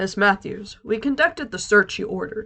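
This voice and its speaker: Putting on a gruff character voice, a woman speaks fairly quickly at medium pitch with lively intonation. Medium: read story. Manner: gruff, serious.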